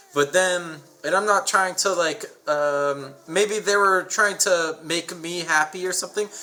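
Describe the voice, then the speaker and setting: Over noticeable background noise, a man speaks at a fairly slow pace with a high pitch and fairly even intonation. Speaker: podcast co-host. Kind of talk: casual chat.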